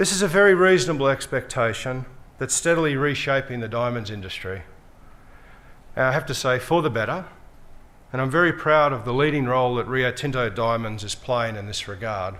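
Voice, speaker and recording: In an Australian accent, a man talks fairly quickly at a medium pitch, with audible room echo. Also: lively intonation. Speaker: mining company executive. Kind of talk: conference speech. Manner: formal.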